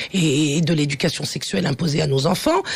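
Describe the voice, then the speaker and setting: With ordinary pitch variation, a woman's speech moves at a fairly quick clip. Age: 60s. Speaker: teacher and activist. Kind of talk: radio interview. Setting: radio studio. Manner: halting, many hesitations; forceful.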